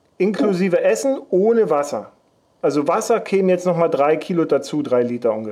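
His voice is high-pitched and dark and mellow in tone. The man talks at a fairly quick pace with very wide pitch swings. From Leipzig, eastern Germany. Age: 40s. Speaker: podcast host. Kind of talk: casual chat.

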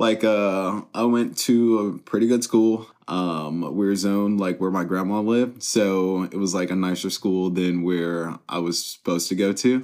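A man has a plain, everyday voice, fairly low in pitch with fairly even intonation. He speaks at a fairly slow pace with hardly any pauses, in a very clean recording with a silent background. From US West, Las Vegas, Nevada. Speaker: union electrician and recovery advocate. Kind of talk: casual interview, personal testimony.

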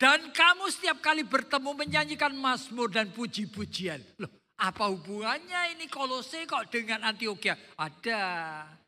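In a raised, projected voice, a man with an extremely high pitch and a bright, sharp tone speaks at a moderate pace, his pitch swinging very widely. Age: old. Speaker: pastor. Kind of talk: sermon.

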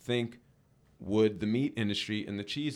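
With an American accent, a plain, everyday voice speaks at a moderate pace on a very clean recording with a silent background. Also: man. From New Jersey. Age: 30s. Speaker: pro skateboarder and entrepreneur. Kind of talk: casual chat.

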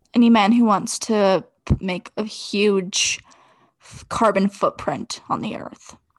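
A woman with a fairly high voice speaks very slowly and in a fairly even tone, her loudness swinging widely, recorded dry and close with no echo against a quiet background. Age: 20s. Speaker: podcast co-host. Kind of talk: casual chat.

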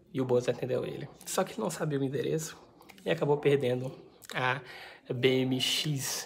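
This woman has a very deep, low pitch and ordinary pitch variation. She talks at a moderate pace over noticeable background noise. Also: long, frequent pauses. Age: 20s. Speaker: book vlogger. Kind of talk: book review vlog. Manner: casual, chatty.

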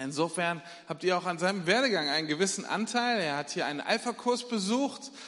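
Through noticeable background noise, a man talks at a fairly quick pace in a high pitch with lively intonation. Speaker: church leader introducing the preacher. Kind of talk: introduction and prayer.

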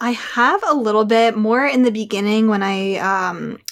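Speaking at a moderate pace, a woman has an ordinary speaking voice with a fairly high pitch and ordinary pitch variation. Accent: American. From Pennsylvania, outside Philadelphia. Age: 20s. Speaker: podcast guest. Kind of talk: casual interview chat.

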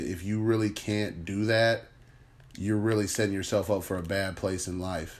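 With audible room echo, a man speaks at a moderate pace in a fairly low pitch. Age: 30s. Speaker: podcast host. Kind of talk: casual monologue. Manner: conversational, filler-heavy.

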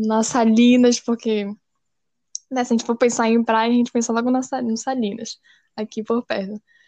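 At a moderate pace, a woman speaks in a fairly high, dark and mellow voice with monotone, flat intonation, recorded dry and close with no echo. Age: 20s. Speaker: journalism student. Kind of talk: interview. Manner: hesitant, many fillers.

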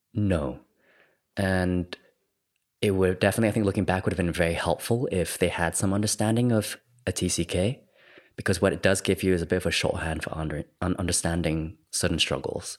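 Very deep, low male voice, moderate pace, fairly even intonation. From Singapore, raised in Thailand. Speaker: art therapist. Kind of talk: interview conversation.

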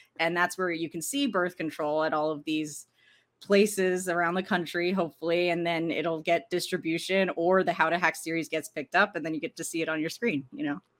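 A normal speaking voice with ordinary pitch variation, at a fairly quick pace. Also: woman, fairly low pitch for a woman. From US East Coast, Arlington, Virginia. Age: 30s. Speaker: filmmaker. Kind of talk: interview. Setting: video call.

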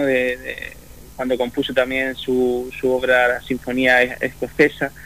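A man of medium pitch speaks at a fairly slow pace. Noticeable noise runs in the background. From Spain, Murcia region. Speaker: orchestra conductor. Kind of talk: radio interview. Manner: halting.

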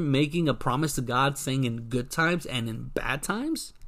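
A man speaks in an animated tone with lively intonation. His pace is moderate. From US South, South Florida, Broward County, Puerto Rican family. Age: 30s. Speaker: podcast host. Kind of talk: casual talk show monologue.

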